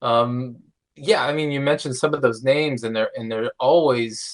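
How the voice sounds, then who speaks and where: A man's unremarkable speaking voice, medium in pitch, fairly even in intonation, at a moderate pace. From eastern Pennsylvania, Lehigh Valley. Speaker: podcast co-host, meteorologist. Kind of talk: podcast interview.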